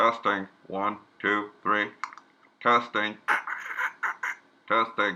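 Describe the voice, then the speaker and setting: A man's put-on character voice, fairly low in pitch, very slow and monotone, with long, frequent pauses. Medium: read story. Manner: vague official phrases, hard to understand.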